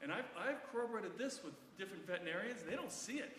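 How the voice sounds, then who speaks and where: Loud and backed by noticeable background noise, a man's voice carries audible room echo. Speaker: doctor and osteoporosis educator. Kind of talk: lecture.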